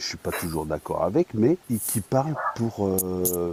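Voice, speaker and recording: A man speaks fairly slowly in an ordinary speaking voice, fairly low in pitch. His intonation is lively, and the sound is dry and close with no echo. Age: 50s. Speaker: live stream participant. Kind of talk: casual chat.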